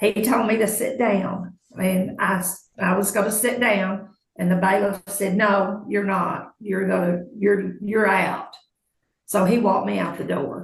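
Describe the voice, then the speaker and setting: Audible room echo surrounds a woman's voice. She speaks at a fairly slow pace with monotone, flat intonation. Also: medium pitch for a woman. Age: 70s. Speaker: court witness. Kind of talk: courtroom testimony.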